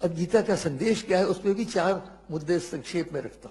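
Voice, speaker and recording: A man talks in a high voice. The rise and fall of his pitch is ordinary. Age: 80s+. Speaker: scholar explaining scripture. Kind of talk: spoken explanation of scripture to a listener.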